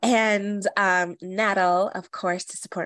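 A woman is talking in a medium pitch. Nothing can be heard behind her. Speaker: herbalist podcast host. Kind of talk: casual chat.

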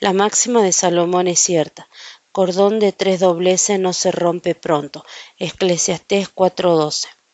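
Here a woman speaks very slowly at a medium pitch. Her intonation stays monotone and flat. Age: 40s. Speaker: Bible teacher. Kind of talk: Bible study.

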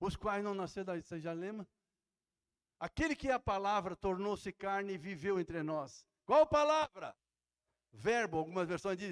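A very clean recording with a silent background, dry and close with no echo, featuring big swings in loudness, a fairly slow pace and long, frequent pauses. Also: man. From Santa Catarina, southern Brazil (Jaraguá do Sul). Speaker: pastor. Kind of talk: sermon. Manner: animated.

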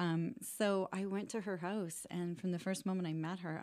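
Fairly even in intonation, a woman speaks at a fairly low pitch with a dark, mellow tone. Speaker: rent-to-own business owner and author. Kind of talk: podcast interview.

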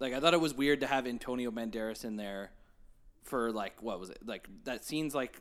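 A plain, everyday voice at a fairly quick pace, ordinary pitch variation, very clean recording with a silent background. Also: man. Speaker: podcast guest. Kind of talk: casual chat.

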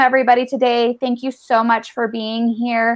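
The woman speaking has a high-pitched voice. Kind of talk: webinar hosting. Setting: video call.

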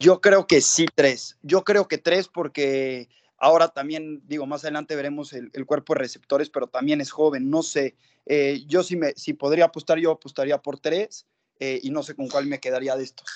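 In a dry, close recording with no echo and a quiet background, a man with an unremarkable speaking voice talks at a moderate pace, his fairly high pitch held to fairly even intonation while his loudness swings widely. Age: 20s. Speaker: football fan. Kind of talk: casual chat.

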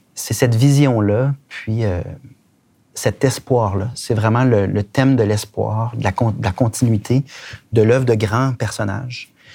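Speaking at a very slow pace, a man uses a medium pitch and a dark, mellow tone that is somewhat breathy, his intonation fairly even. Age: 40s. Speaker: politician. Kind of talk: interview.

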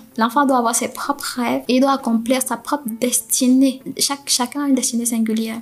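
A woman with a high voice talks at a fairly quick clip in a flat monotone, barely pausing, over noticeable background noise. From Cameroon. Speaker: podcast guest. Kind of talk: personal testimony interview. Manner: halting.

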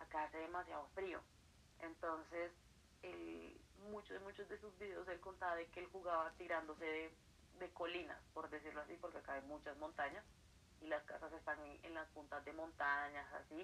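A woman speaks with a Colombian accent at a moderate pace. Her pitch is fairly low, and her intonation stays fairly even. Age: 20s. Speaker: writer and accounting student. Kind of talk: casual interview. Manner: quiet, late at night.

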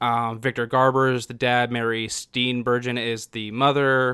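A man with an unremarkable speaking voice, medium pitch and fairly even intonation. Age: 20s. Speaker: podcast co-host. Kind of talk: casual chat.

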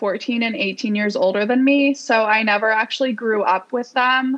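A woman with an ordinary speaking voice talks at a fairly slow pace, her fairly high pitch holding a fairly even intonation. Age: 20s. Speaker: podcast guest seeking love advice. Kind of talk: casual chat.

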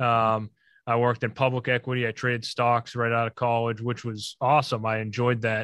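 Heard over a quiet background, dry and close with no echo, the speaker talks at a fairly quick pace with an American accent and monotone, flat intonation. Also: man, medium pitch for a man. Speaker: real estate developer. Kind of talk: interview.

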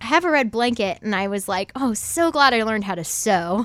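A woman's unremarkable speaking voice, fairly high in pitch, with an American accent and lively intonation. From Ohio. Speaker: singer-songwriter. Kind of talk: casual interview chat.

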